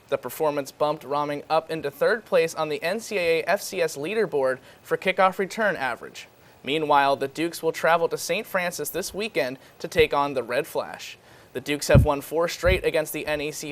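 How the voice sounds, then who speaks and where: A man's unremarkable speaking voice, fairly high in pitch, with ordinary pitch variation and a fairly quick pace. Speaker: news reporter and anchor. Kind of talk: TV news anchor read.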